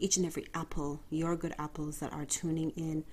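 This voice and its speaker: Quietly and at a fairly quick pace, a woman speaks with a very deep, low pitch and a dark, mellow, warm tone. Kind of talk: podcast monologue. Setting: bedroom at home. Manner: subdued, quiet tone; warm, direct address.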